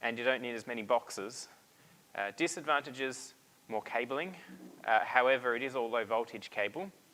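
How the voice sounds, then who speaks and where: A man with an Australian accent speaks at a moderate pace and a medium pitch. His tone is bright and sharp, with ordinary pitch variation. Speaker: presenter at a hobbyist meetup. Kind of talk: technical presentation. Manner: hesitant, many fillers.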